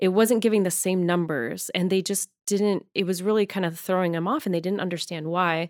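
On a very clean recording with a silent background, a woman with an American accent talks in an ordinary speaking voice, medium in pitch with ordinary pitch variation, at a fairly quick pace with hardly any pauses. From Arizona. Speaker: social worker. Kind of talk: casual chat. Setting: studio. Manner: laughs often.

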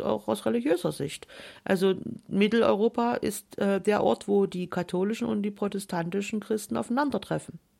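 Speaking at a moderate pace, a woman uses lively intonation with a medium pitch and a dark, mellow tone. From Saxony, Germany. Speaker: author and former politician. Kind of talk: radio interview.

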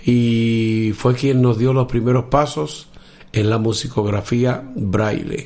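A man speaks with a Dominican accent. His pitch is medium, and his pace is fairly slow. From Dominican Republic, Cibao valley in the north. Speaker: blind musician and aspiring orchestra conductor. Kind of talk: casual interview.

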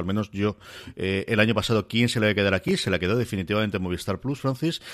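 The recording is very clean and the background silent. A man delivers his words at a very fast pace. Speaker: podcast host reviewing streaming series. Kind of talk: casual chat about TV series.

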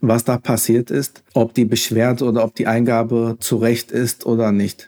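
Captured with a dry, close sound with no echo, a man speaks at a fairly slow pace in a dark, mellow tone. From Hesse, Germany. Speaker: civil servant handling complaints about youth welfare offices. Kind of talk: interview.

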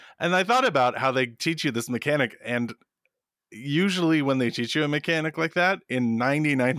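On a very clean recording with a silent background, a man talks with lively intonation. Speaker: video game podcast co-host. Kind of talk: casual chat. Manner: loud.

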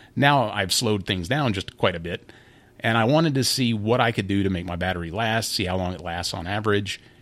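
A man's ordinary speaking voice, fairly low in pitch, at a fairly quick pace with ordinary pitch variation, on a very clean recording with a silent background. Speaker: podcast host. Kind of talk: casual tech podcast discussion.

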